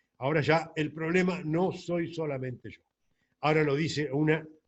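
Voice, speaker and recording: With a Rioplatense accent, a man talks fairly slowly in a fairly high, somewhat breathy voice. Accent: Argentine Rioplatense Spanish. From Argentina, La Plata. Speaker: doctor. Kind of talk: lecture. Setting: recorded alone at a computer.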